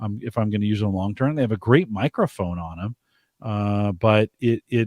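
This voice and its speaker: On a very clean recording with a silent background, a man speaks in a fairly low pitch with a dry, close sound and no echo. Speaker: podcast host. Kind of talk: casual chat. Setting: live-streamed show with chat room. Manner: loud.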